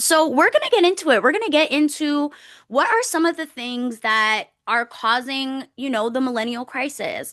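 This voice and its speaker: With an animated tone, a woman talks at a moderate pace, her high pitch making very wide swings. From Toronto, Canada, Caribbean heritage. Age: 30s. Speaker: podcast host. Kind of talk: casual solo podcast talk.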